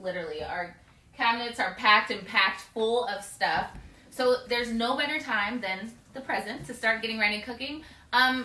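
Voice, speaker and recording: Audible room echo surrounds a voice that moves at a moderate pace with ordinary pitch variation. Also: woman. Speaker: home cooking show host. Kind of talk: cooking show intro, casual. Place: kitchen. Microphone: camera far.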